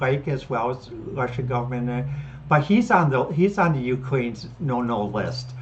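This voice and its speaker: A woman speaks in a somewhat breathy voice. Her pitch variation is ordinary. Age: 60s. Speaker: podcast host. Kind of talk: solo commentary. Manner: halting, many fillers and restarts.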